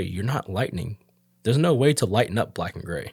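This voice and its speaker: A somewhat breathy man at a fairly quick pace, dry and close with no echo, on a very clean recording with a silent background. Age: 30s. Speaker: tattoo artist. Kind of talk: casual chat.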